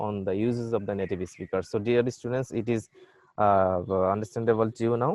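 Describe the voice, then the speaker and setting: With a Bengali accent, a man speaks at a medium pitch and with fairly even intonation. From Bangladesh. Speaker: university lecturer. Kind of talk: lecture. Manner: halting.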